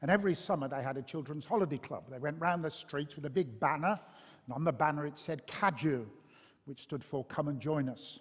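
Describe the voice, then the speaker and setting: Speaking with a Birmingham accent at a fairly quick pace, a man keeps a fairly high pitch with ordinary pitch variation, in a very clean recording with a silent background. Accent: Birmingham (Brummie). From Birmingham, English West Midlands. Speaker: pastor. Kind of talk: interview testimony. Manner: hesitant, many fillers.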